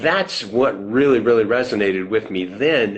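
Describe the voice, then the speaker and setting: A man with a normal speaking voice, at a moderate pace and with ordinary pitch variation, over a quiet background. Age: 60s. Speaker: financial services business owner. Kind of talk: interview. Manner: conversational.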